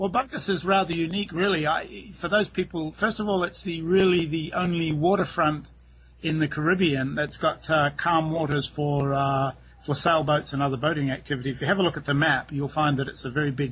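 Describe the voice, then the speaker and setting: A man with a New Zealand accent, fairly high-pitched, at a fairly quick pace with ordinary pitch variation. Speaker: real estate agent. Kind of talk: interview. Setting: outdoors.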